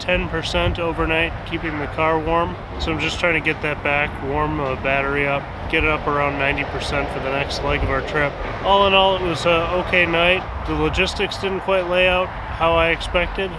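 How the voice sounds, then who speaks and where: A man talks at a fairly quick pace. The sound is dry with no echo, though noticeable background noise is present. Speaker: road trip vlogger. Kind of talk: casual vlog chat. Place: open country.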